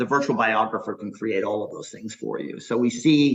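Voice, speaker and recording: A man's medium-pitched, a normal speaking voice, with ordinary pitch variation. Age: 60s. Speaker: startup founder and CEO. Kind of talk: interview.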